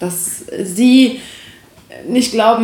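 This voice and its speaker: A woman at a very slow pace with fairly even intonation, amid noticeable background noise and audible room echo. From Aachen, western Germany. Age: 20s. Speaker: podcast guest. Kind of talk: casual chat.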